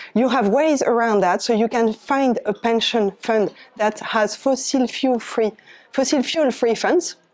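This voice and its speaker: Moderate pace and ordinary pitch variation in a woman's fairly high voice. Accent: French. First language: French. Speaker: climate volunteer speaker. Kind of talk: presentation. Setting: eco fair talk with audience.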